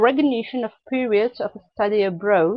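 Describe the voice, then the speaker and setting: A woman with a non-native accent speaks at a moderate pace with lively intonation. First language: not English. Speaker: webinar presenter, dietetics educator. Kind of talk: webinar presentation. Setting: online webinar. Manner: halting, with hesitations and restarts.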